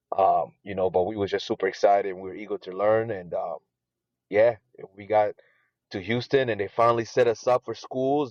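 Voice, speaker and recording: A man's medium pitch at a moderate pace, dry and close with no echo. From Burundi, East Africa; raised in North Carolina from childhood. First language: Swahili. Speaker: immigrant guest. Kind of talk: interview. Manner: hesitant, filler-heavy (you know, um).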